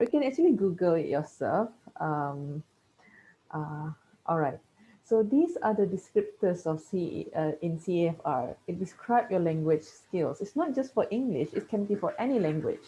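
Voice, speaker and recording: A woman with a Malaysian accent speaks at a moderate pace in a medium pitch, her voice somewhat breathy with a dark, mellow tone and lively intonation. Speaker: teacher. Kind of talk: lecture. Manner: halting.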